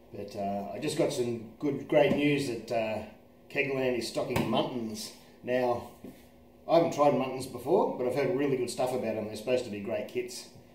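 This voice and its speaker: A man speaks at a moderate pace with ordinary pitch variation, with light background noise and audible room echo. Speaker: presenter. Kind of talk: casual product tutorial. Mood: cheerful, upbeat. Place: kitchen. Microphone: phone near.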